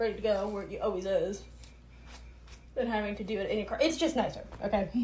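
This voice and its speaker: A woman speaks at a very fast pace in an animated tone, her pitch fairly high, with audible room echo around her. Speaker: podcaster. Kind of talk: casual monologue.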